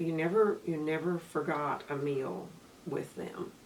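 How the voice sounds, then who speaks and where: Speaking in an American accent, a woman has a very deep, low pitch. She talks at a fairly slow pace with ordinary pitch variation. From Waco, Texas. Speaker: university dean. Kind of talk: interview answer.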